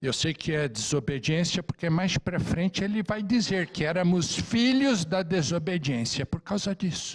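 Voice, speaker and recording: A man with a high voice speaks at a fairly slow pace with hardly any pauses, lively intonation and very even loudness. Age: 60s. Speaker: Bible class teacher. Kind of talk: Bible class lecture.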